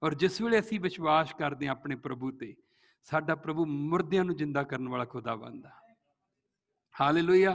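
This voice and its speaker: A man talks with a Punjabi accent at a fairly high pitch. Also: ordinary pitch variation. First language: Punjabi (speaking Hindi). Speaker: pastor. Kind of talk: sermon.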